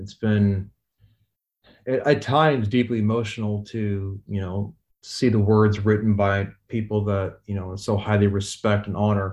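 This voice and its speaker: A man speaks with a Midwestern American accent and a fairly low pitch. His intonation stays monotone and flat. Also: fairly slow pace. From US Midwest, rural Missouri. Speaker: astrophysicist and author. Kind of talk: interview.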